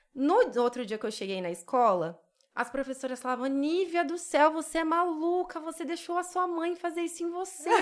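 Her pitch extremely high, a woman speaks with lively intonation at a moderate pace. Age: 30s. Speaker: esthetician. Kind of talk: casual interview chat.

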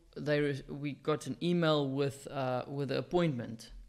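A man with a South African accent, fairly high pitch and fairly even intonation at a fairly slow pace, on a very clean recording with a silent background. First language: Afrikaans. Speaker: podcast co-host. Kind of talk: casual chat. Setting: studio.

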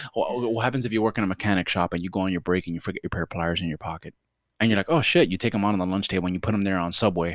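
A man with a Miami accent, fairly low-pitched and animated, at a very fast pace in a very clean recording with a silent background. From Miami, Florida. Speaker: podcast co-host. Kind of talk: casual chat.

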